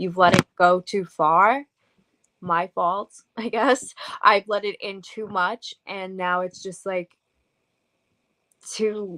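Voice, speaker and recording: Speaking at a very slow pace with long, frequent pauses, a woman with an American accent uses a medium pitch, a bright, sharp tone and big swings in loudness. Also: fairly even intonation, dry, close sound with no echo. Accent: Long Island accent, toned down but coming out. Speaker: paranormal investigator and author. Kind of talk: interview. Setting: radio show.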